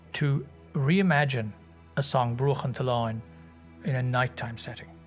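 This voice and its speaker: Fairly slow male speech over background music. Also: medium pitch for a man, ordinary pitch variation. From Ireland, County Cork. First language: Irish. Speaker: singer and composer. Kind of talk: interview answer.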